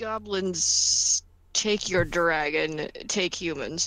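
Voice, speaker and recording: In a put-on character voice, a female-sounding speaker growls at a very slow pace with a fairly low pitch. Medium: actual play. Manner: deadpan, broken sentences.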